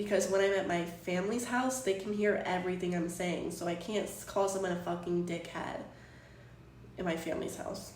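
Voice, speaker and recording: Medium-pitched woman at a moderate pace, with noticeable background noise and audible room echo. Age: 20s. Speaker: live streamer. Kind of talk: casual chat. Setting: live stream from home. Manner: animated.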